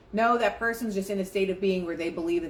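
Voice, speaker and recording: The speaker delivers the words in an animated tone at a very fast pace. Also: woman. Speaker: spiritual life coach livestreamer. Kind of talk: live stream talk on manifesting with reading aloud. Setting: live stream.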